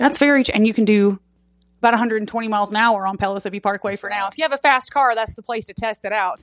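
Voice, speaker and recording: With an East Tennessee accent, a woman talks at a very fast pace in a fairly high pitch, her intonation fairly even while her loudness swings widely. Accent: East Tennessee Southern US. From Knoxville, Tennessee. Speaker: podcast host. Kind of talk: casual interview. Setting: outdoor backyard, recorded on iPad.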